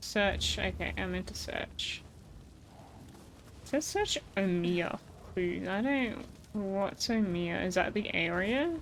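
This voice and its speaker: Room echo is audible as a woman speaks. Her pace is very slow, with long, frequent pauses. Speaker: video game streamer. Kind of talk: live gameplay stream chat. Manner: occasional tongue clicks mid-word; casual, conversational.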